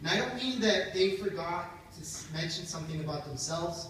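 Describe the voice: A man's high voice with a fairly bright tone and lively intonation, at a moderate pace, in audible room echo.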